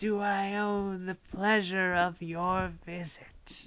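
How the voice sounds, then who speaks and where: A female-sounding voice is put on as a character. It moves at a very slow pace with a medium pitch. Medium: actual play. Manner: formal, measured.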